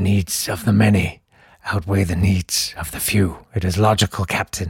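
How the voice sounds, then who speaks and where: A man's rumbling, put-on character voice, very deep and low in pitch, at a moderate pace. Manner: solemn, logical.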